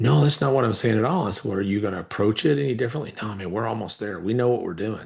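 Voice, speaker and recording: Very fast, lively male speech, fairly low in pitch and somewhat breathy, with hardly any pauses. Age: 60s. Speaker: entrepreneur and investor. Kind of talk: casual chat.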